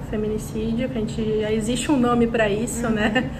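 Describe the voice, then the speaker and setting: A woman speaks with fairly even intonation. Audible room echo and noticeable background noise are present. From Brazil, interior. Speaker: podcast co-host, public relations professional. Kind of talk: casual chat.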